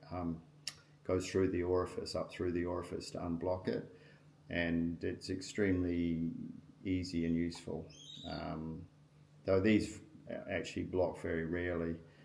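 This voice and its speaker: Monotone, flat intonation at a moderate pace, with long, frequent pauses and audible room echo. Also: man, very deep, low pitch for a man. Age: 60s. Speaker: outdoor gear reviewer. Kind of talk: product review tutorial. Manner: casual, hesitant with frequent ums.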